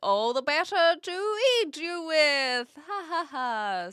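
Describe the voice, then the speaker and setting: Someone puts on a high-pitched character voice and speaks at a very slow pace. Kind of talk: fairy-tale. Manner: menacing, gleeful.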